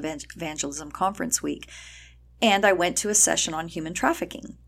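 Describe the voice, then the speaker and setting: A woman speaks with an American accent in a plain, everyday voice. Her fairly low pitch varies ordinarily, at a fairly quick pace. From El Paso, Texas. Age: 50s. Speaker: nonprofit founder and ministry leader. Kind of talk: interview conversation.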